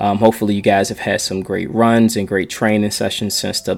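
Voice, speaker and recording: A man talks at a fairly quick pace. His fairly low voice stays monotone and flat. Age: 40s. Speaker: podcast host and runner. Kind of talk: solo podcast monologue. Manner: casual, with many fillers and restarts.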